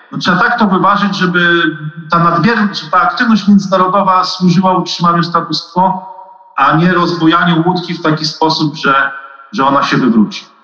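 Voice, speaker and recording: A man's high voice at a fairly quick pace, ordinary pitch variation, and noticeable background noise. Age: 40s. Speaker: China and Taiwan analyst. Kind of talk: expert interview.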